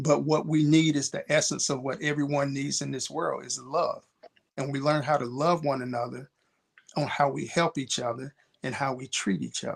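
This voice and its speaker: A man talks in a plain, everyday voice at a fairly high pitch. His intonation is fairly even and his pace moderate. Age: 60s. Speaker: mentor. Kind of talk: panel discussion.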